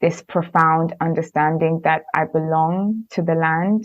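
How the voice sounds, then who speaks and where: A woman speaks very slowly in a fairly low voice with fairly even intonation. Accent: Kenyan. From Kenya (Nairobi), then London from age 10. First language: Luo. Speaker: podcast host, environmental justice advocate. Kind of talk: interview conversation. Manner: reflective, many filler ums.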